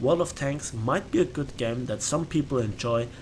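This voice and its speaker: A man with a German accent talks at a moderate pace and medium pitch, using ordinary pitch variation. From Bavaria, Germany. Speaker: gaming youtuber. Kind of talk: casual chat. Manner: hesitant, many fillers.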